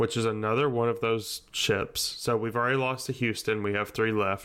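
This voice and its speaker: A man speaks at a medium pitch with a bright, sharp tone. The recording is very clean, with a silent background. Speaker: podcast co-host. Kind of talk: casual chat, storytelling. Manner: joking, humorous.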